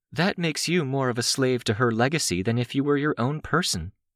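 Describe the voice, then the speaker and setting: Putting on a character voice at medium pitch, a man talks at a fairly quick pace with lively intonation and very even loudness, in a dry, close sound with no echo. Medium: read story. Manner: calm, measured.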